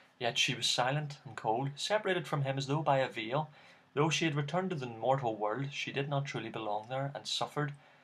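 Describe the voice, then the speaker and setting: With a Northern Irish accent, a man talks at a fairly quick pace and fairly high pitch with ordinary pitch variation. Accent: Northern Irish (Belfast). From Northern Ireland, Belfast. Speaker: YouTuber. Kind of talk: reading aloud; casual chat.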